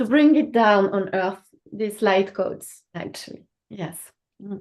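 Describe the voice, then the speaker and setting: A woman talks at medium pitch and a fairly slow pace, with ordinary pitch variation and big swings in loudness. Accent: non-native. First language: French. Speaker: spiritual teacher of Aramaic light language. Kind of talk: casual chat on a live call. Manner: halting.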